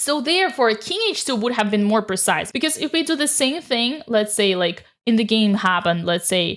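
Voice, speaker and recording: Her loudness very even and her pitch fairly high, a woman speaks in an animated tone with very wide pitch swings and hardly any pauses. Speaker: chess commentator. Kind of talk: game recap commentary. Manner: fast.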